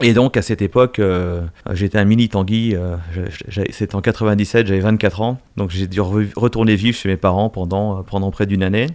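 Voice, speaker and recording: At a fairly quick pace, a man with a fairly low pitch keeps his intonation fairly even, on a very clean recording with a silent background. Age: 50s. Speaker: business executive. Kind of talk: interview. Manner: hesitant, many fillers.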